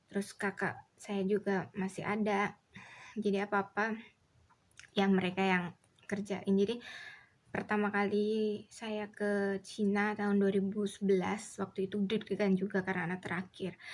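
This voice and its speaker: In a Javanese accent, a woman speaks at medium pitch. Her intonation is monotone and flat. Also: moderate pace. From Indonesia, Solo (Central Java). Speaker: vlogger. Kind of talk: casual chat.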